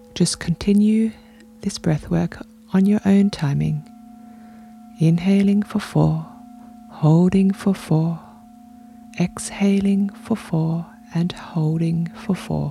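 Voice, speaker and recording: A woman's soothing, calm tone at a medium pitch, very slow pace and ordinary pitch variation, with long, frequent pauses and music in the background. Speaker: podcast host and meditation guide. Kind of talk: guided meditation. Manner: slow, soothing; calm, gentle, unhurried, with long pauses.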